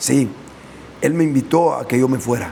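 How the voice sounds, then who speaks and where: A man at a moderate pace with ordinary pitch variation, plus noticeable background noise and audible room echo. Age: 60s. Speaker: preacher. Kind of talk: sermon. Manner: hesitant fillers.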